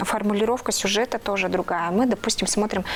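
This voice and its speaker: Against noticeable background noise, a woman speaks with a fairly high pitch and ordinary pitch variation. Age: 30s. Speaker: TV news presenter and reporter. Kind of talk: interview. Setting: studio. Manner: halting.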